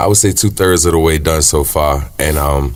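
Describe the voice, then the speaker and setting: A man's very deep, low voice moves at a moderate pace and shows ordinary pitch variation, with noticeable background noise behind it. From Richmond, Virginia, US South. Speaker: singer-songwriter. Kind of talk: interview. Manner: casual, filler-heavy.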